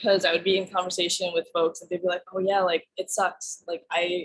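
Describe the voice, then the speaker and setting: A woman has an ordinary speaking voice, with medium pitch and a moderate pace. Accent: American. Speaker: art director. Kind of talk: talk then Q&A answers. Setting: video call.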